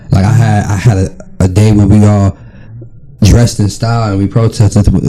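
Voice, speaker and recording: A man speaks at a fairly low pitch in an American accent. Noticeable background noise sits behind him. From Ohio, US (Canton). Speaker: actor and battle rapper. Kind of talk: casual podcast interview. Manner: animated.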